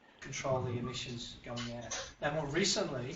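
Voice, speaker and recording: A man at a moderate pace with fairly even intonation, audible room echo and noticeable background noise. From Canada. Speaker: industrial hygienist. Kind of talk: lecture.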